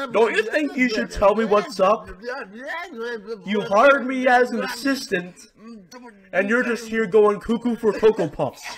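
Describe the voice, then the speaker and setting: A cartoonish character voice speaks at a moderate pace with ordinary pitch variation. Long pauses come often. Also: man, extremely high pitch for a man. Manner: sarcastic, exasperated.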